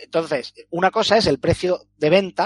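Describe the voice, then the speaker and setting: With a Castilian accent, a man speaks at a high pitch with ordinary pitch variation in a dry, close sound with no echo. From Spain. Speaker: video game podcast panelist and streamer. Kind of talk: casual chat.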